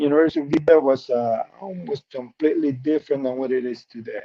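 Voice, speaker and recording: A man speaks with a Spanish accent at a moderate pace. His pitch varies in an ordinary way. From Peru. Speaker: benefits specialist. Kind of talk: interview.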